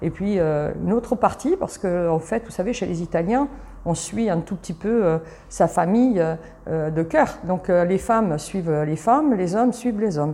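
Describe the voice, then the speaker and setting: A woman with a medium pitch talks at a moderate pace, her intonation lively. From Italy, moved to Paris suburbs as a child. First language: Italian (speaking French). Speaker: travel company founder. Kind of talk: interview. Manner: animated; halting.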